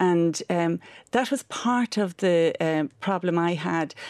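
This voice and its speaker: With an Irish accent, a woman speaks at fairly low pitch with ordinary pitch variation, in a dry, close sound with no echo on a very clean recording with a silent background. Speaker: charity director and parent. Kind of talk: radio interview. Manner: halting.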